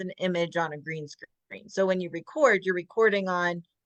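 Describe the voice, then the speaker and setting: Here a woman speaks with an American accent. Her pitch is medium and her pace moderate. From US South. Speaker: podcast host, publisher. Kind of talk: interview.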